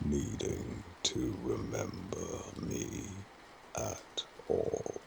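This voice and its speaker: At a very slow pace, a man talks over noticeable background noise. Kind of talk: sleep story.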